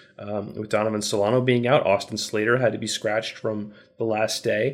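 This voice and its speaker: A man at medium pitch, a normal speaking voice at a fairly quick pace, on a very clean recording with a silent background. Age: 40s. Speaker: baseball podcast co-host. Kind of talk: casual chat.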